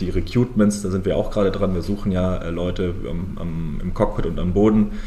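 Fairly low male voice at a fairly quick pace with ordinary pitch variation, plus audible room echo and noticeable background noise. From southern Germany, Lake Constance. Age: 20s. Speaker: airline founder and CEO. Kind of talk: interview.

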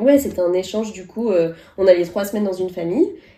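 A woman speaks at a very fast pace in a dark, mellow tone. Her voice sits at a medium pitch with ordinary variation. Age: 30s. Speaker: podcast co-host. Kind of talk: casual chat.

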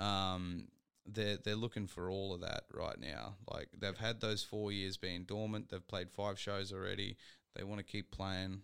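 In an Australian accent, a man speaks fairly slowly in a flat monotone with a fairly low pitch. The recording is very clean, with a silent background. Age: 20s. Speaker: podcast host. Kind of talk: casual chat.

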